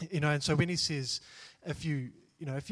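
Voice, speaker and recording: A man's plain, everyday voice, fairly high in pitch, with fairly even intonation. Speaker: church group member.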